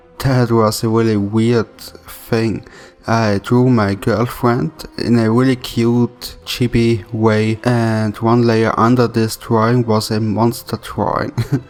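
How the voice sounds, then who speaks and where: A man's medium-pitched voice in an Austrian accent, very even in loudness, flat and monotone, at a very slow pace, with music in the background. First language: German. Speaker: YouTube animator. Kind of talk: Q&A video.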